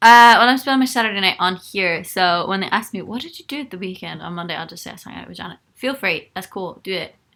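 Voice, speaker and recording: On a very clean recording with a silent background, a woman talks very fast with hardly any pauses at medium pitch in a bright, sharp tone, with ordinary pitch variation and big swings in loudness. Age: 20s. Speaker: singer and YouTuber. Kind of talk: live-stream chat reading viewer comments. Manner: casual, with many fillers.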